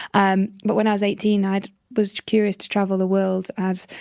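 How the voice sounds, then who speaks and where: In a British accent, the speaker talks at a moderate pace in a monotone, flat way, on a very clean recording with a silent background and a dry, close sound with no echo. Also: woman. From northern England. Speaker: social entrepreneur. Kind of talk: interview storytelling. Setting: podcast.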